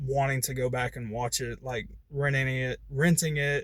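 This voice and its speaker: Here a man speaks with medium pitch and monotone, flat intonation. His moderately paced voice is somewhat breathy. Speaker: movie reviewer YouTuber. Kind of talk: casual video review. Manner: halting, stuttering.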